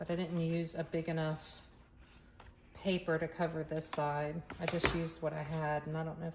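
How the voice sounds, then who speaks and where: Over noticeable background noise, a woman with a very deep, low voice speaks at a moderate pace in a monotone, flat intonation. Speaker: crafter making art tutorials. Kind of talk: casual crafting tutorial, thinking aloud. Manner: halting, self-correcting.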